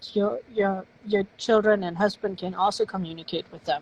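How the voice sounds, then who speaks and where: In a German accent, a woman speaks at a medium pitch with ordinary pitch variation and a dry, close sound with no echo. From Germany. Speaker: novelist. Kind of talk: casual interview. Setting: live stream.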